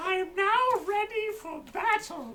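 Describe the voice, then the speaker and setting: An extremely high, squeaky, put-on character voice at a fairly slow pace. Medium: actual play. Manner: rambling, absent-minded.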